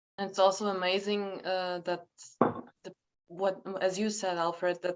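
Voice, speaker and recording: A woman with a German accent speaks at a moderate pace, her medium-pitched voice flat and monotone. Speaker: panel moderator. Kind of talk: panel discussion. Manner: halting.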